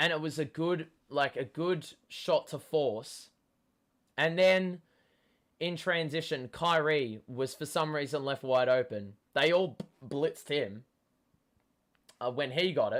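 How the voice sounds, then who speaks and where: An Australian-accented man at a fairly slow pace and fairly high pitch, with long, frequent pauses, in a very clean recording with a silent background. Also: ordinary pitch variation. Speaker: sports fan streamer. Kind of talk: live watchalong commentary. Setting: live stream. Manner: animated.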